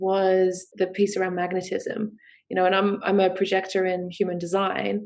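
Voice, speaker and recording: Flat and monotone, a woman speaks with a strong Australian accent. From UK. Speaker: sex coach and business founder. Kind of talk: podcast interview. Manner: hesitant with many fillers.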